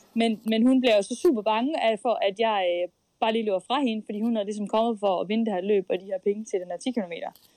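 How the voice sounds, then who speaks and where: At a very fast pace, a woman with a fairly high pitch and a dark, mellow tone speaks with ordinary pitch variation in a dry, close sound with no echo. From Denmark, Skive (Jutland). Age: 20s. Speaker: elite runner and student. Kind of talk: interview. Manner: hesitant, many fillers.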